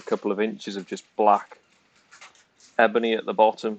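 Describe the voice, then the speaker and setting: A man with a Welsh accent speaks at a moderate pace in a fairly low voice. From Wales. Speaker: snooker channel co-host. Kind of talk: casual chat.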